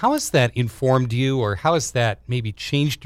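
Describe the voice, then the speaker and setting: A man with an unremarkable speaking voice talks at a moderate pace with ordinary pitch variation. The recording is very clean, with a silent background. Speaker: radio host. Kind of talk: radio interview, show intro and outro.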